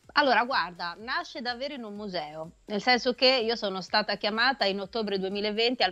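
At a moderate pace, a woman talks at medium pitch with ordinary pitch variation. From Marche, central Italy. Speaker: singer-songwriter; guest. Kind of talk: radio interview. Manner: halting, frequent fillers. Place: home room. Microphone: video call.

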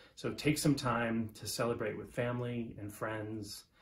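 This man's voice is somewhat breathy. His pitch sits fairly low. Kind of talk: congratulatory video message. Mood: warm, proud. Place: home room. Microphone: phone near.

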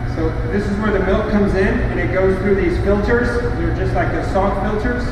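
A man amid loud background noise and audible room echo. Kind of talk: tour guide explanation. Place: factory.

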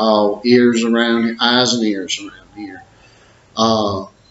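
Audible room echo and light background noise surround a man's voice. He speaks at a very slow pace with monotone, flat intonation. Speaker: boxing trainer or parent. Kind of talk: casual vlog chat. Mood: friendly, good-humored. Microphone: webcam.

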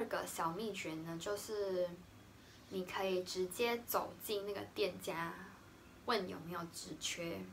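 A woman's normal speaking voice at medium pitch, fairly slow and fairly even in intonation, over light background noise. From Taiwan. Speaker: vlogger, art teacher. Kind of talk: casual vlog talk to camera.

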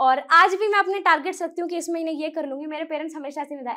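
A woman's raised, projected voice carries a bright, sharp tone over a quiet background. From Haryana, India. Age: 20s. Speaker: YouTube educator and student; YouTube educator. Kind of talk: motivational talk. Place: studio. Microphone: lapel.

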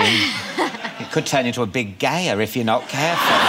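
Through loud background noise, a man speaks at a fairly slow pace. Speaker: talk show host. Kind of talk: talk show banter. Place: studio.

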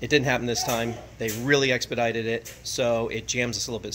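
Through noticeable background noise, a man speaks with monotone, flat intonation. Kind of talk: casual vlog update. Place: workshop. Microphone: phone near.

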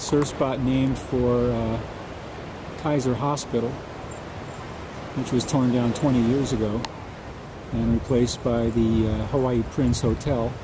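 Amid noticeable background noise, a medium-pitched man speaks fairly slowly in a flat monotone, his loudness very even and his speech marked by long, frequent pauses. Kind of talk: casual travelogue narration to camera.

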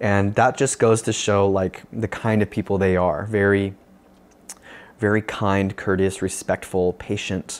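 Speaking with a Californian accent, a man keeps a flat, monotone delivery at a fairly slow pace and a very even loudness. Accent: Californian American. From Northern California, US. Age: young. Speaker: pastor. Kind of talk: video sermon talk; personal story talk to camera. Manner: casual, with many fillers. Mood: earnest, reflective. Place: home room. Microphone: lapel.

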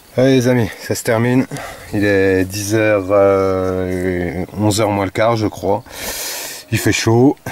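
The sound is dry with no echo, and the pace is very slow. Intonation stays fairly even, with long, frequent pauses. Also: man, fairly low pitch for a man. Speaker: metal detecting vlogger. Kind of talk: casual vlog narration. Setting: outdoors in a field. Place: farm. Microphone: phone near.

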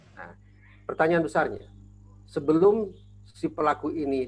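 A man's lively intonation and vocal fry over light background noise. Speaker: guest. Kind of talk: interview answer. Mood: serious, concerned. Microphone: earbuds.

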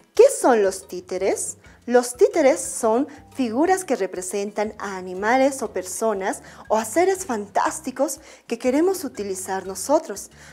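Speaking at a fairly slow pace, a woman with a high pitch is heard over faint music in the background. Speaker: primary school art teacher. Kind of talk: educational TV lesson. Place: studio. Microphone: lapel.

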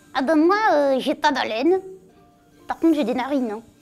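A put-on character voice delivered at a moderate pace, with faint music playing in the background. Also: woman. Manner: cheeky, spontaneous.

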